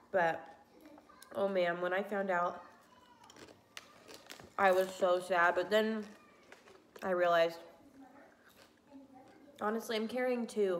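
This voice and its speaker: A woman's medium-pitched voice with fairly even intonation, at a fairly slow pace with long, frequent pauses, over noticeable background noise. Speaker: pregnancy vlogger. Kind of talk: casual talk to camera.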